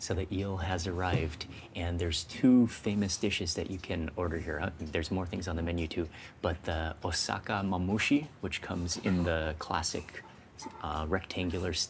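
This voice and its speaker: A man's very deep, low voice, quiet and somewhat breathy, at a moderate pace. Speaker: food vlogger. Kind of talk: food vlog narration. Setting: small restaurant. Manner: quiet, keeping voice low; animated.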